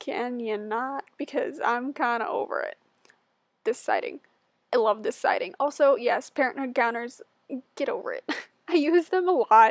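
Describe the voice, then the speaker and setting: With a dry, close sound and no echo, a woman speaks at a moderate pace in a high pitch that makes very wide swings. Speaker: gaming YouTuber. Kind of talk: casual voiceover. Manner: loud; chatty, filler-heavy.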